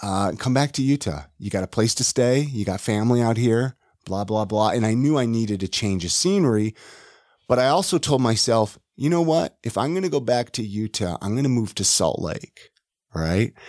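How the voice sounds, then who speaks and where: A man with an American accent and an unremarkable speaking voice, medium pitch and lively intonation at a moderate pace, in a very clean, dry, close recording with no echo and a silent background. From California, Ventura. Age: 40s. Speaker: podcast host and realtor. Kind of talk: casual interview, being interviewed. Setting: studio.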